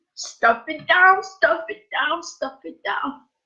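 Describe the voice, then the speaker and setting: A woman's extremely high voice with very wide pitch swings. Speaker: former teacher, life coach. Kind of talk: emotional live stream monologue. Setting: Facebook live video. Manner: loud.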